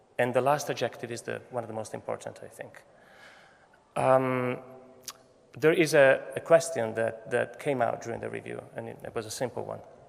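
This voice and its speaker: A man with a non-native accent, over noticeable background noise. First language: Italian. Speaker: photography professor. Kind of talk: commencement speech. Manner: halting.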